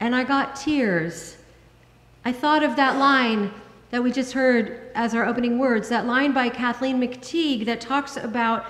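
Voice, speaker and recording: A woman speaks at a fairly slow pace, her pitch high with ordinary variation. Audible room echo surrounds her voice. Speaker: minister. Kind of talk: sermon. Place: church. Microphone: podium.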